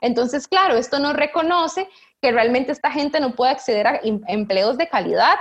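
Lively intonation marks this voice, which moves at a moderate speed. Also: woman. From Costa Rica, San José. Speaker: researcher. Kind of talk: interview. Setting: video call. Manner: animated.

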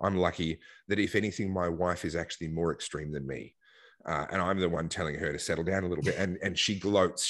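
Over a quiet background, a man with a very deep, low voice and an Australian accent talks at a very fast pace with ordinary pitch variation. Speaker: political activist and commentator. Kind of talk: casual interview.

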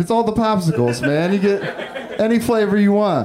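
Noticeable background noise sits behind the speaker. He is a man with a high pitch. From Northern California, Humboldt County. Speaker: stand-up comedian. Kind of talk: stand-up. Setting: stage with audience.

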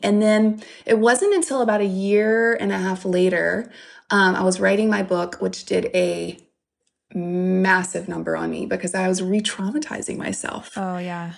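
Fairly even intonation and a moderate pace from a woman whose voice sits at a medium pitch. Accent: Southern US. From US South, Louisiana. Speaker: author and speaker. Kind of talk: interview.

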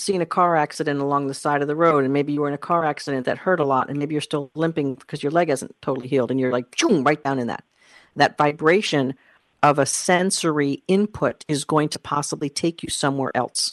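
Against a quiet background, a woman talks fairly quickly at a very deep, low pitch, the sound dry and close with no echo. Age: 50s. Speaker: career coach and podcast host. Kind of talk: solo podcast talk. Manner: animated.

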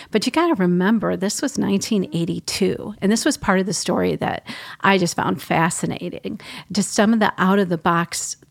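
On a very clean recording with a silent background, a woman with an American accent speaks at a moderate pace. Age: 50s. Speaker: newspaper reporter. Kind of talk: casual interview chat.

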